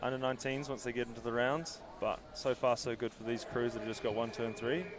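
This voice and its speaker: A man speaks at a medium pitch and a fairly quick pace. Music plays in the background. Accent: New Zealand. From New Zealand. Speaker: sports commentator. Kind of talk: live commentary. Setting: commentary box. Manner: animated.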